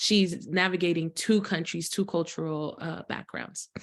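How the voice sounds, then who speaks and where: A woman speaks in a plain, everyday voice at a fairly low pitch and moderate pace. Her intonation is fairly even against a quiet background. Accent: American. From US, Haitian household. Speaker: interpreter and psychology-trained co-host. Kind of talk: interpreting in a panel talk.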